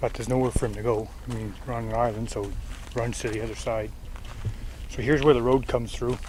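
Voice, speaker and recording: A man rattles along at a very fast pace yet leaves long, frequent pauses. Noticeable background noise and audible room echo fill the recording. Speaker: outdoor vlogger. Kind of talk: vlog narration. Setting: outdoors. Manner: casual, halting.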